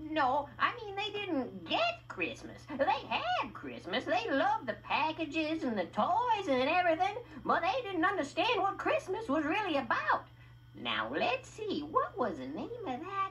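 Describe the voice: In a cartoonish character voice, the speaker goes at a fairly slow pace with very wide pitch swings and a fairly bright tone over faint background noise.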